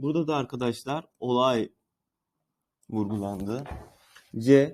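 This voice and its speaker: A man speaks in a normal speaking voice at a medium pitch, with ordinary pitch variation and a fairly slow pace. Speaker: Turkish language teacher. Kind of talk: tutorial.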